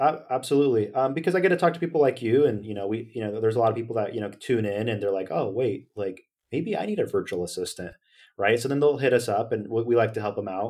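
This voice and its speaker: A man with an American accent speaks at a very fast pace. His pitch is medium and his intonation lively. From Northern California. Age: 20s. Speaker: company founder. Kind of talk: interview. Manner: animated.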